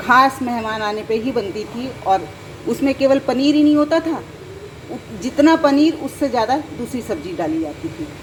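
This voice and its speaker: Over noticeable background noise, a woman speaks with a high pitch and very wide pitch swings. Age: 60s. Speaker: cooking channel host. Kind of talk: cooking tutorial. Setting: home kitchen. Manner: conversational, chatty.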